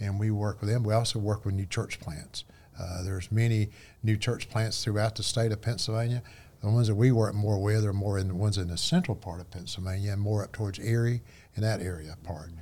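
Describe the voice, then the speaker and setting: With a dark, mellow tone and a somewhat breathy quality, a man talks at a fairly quick pace and a fairly low pitch. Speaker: missionary. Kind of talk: casual chat.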